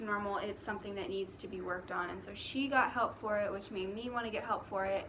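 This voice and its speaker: A woman at a fairly quick pace with fairly even intonation, amid audible room echo and noticeable background noise. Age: young. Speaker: vlogger. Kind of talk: casual vlog monologue. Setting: outdoors.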